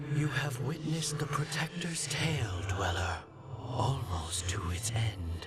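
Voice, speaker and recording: Over loud background noise, a man does a put-on character voice at medium pitch and a fairly slow pace. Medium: video game. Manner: solemn, archaic.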